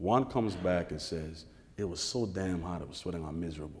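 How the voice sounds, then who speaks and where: With audible room echo, a man talks at a moderate pace in a dark, mellow tone with ordinary pitch variation. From Caribbean islands. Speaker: author and journalist. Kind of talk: onstage interview. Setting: stage with audience. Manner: animated.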